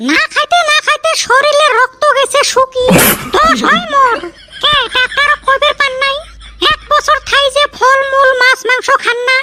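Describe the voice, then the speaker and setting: In a cartoonish character voice, a woman talks at a moderate pace with an extremely high, squeaky pitch. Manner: scolding.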